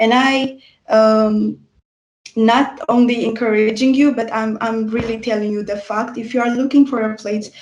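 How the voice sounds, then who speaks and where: A woman with a non-native accent talks at a moderate pace. Her fairly high voice has a monotone, flat intonation. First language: not English. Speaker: university student. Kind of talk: student testimony in online info session. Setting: livestream. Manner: halting, many filler sounds.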